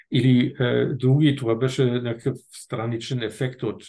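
Fairly even intonation from a man. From northern Germany. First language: German (speaking Bulgarian). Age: 60s. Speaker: retired diplomat and field hockey federation president. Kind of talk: casual interview. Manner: halting.

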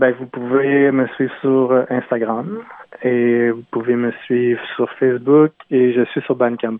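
Very slowly and in a monotone with flat intonation, a man speaks at medium pitch. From Quebec City (Limoilou), Quebec. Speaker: singer-songwriter. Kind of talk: radio interview. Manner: hesitant, many fillers.

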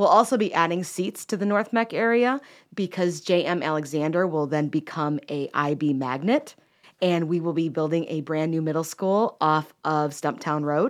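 A woman's normal speaking voice, fairly low in pitch, with an American accent, lively intonation and a moderate pace against a quiet background. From Chicago. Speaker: school board member and former teacher. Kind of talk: radio interview. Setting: radio studio.

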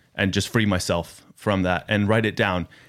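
In an American accent, a man with an ordinary speaking voice talks at a moderate pace and a fairly low pitch. The recording is very clean and the background silent. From United States. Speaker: youth worker. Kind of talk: casual interview. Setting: studio.

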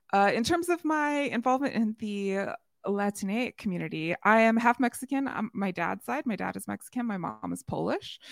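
A woman's animated voice at a fairly high pitch and moderate pace, with lively intonation in a dry, close sound with no echo and a very clean recording with a silent background. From US Midwest. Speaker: podcaster. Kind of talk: casual interview. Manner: animated, laughs often.

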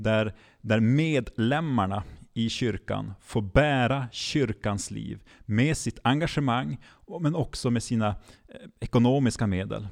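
On a very clean recording with a silent background, a man with a medium pitch speaks at a very slow pace. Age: 30s. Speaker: regional church mission leader. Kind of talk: podcast interview. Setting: live recording in front of an audience. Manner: halting, many repeated words.

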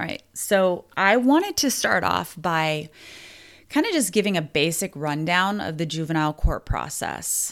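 Lively intonation at a fairly slow pace, in a very clean recording with a silent background. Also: woman. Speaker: podcast host. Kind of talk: supportive podcast talk. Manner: conversational, with fillers; emotional, gets choked up.

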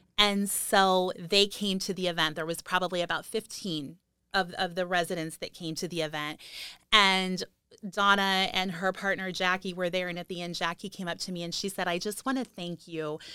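This very clean recording with a silent background features a woman with an American accent. Her medium-pitched voice is bright and sharp, at a moderate pace. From Ohio, US Midwest. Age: 50s. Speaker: author and domestic violence advocate. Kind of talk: casual interview about personal story. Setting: studio.

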